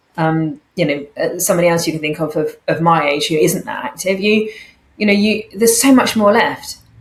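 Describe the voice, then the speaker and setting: With lively intonation, a woman with a fairly low pitch speaks in an unremarkable speaking voice. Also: fairly quick pace. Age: 50s. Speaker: company founder and COO. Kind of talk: casual chat.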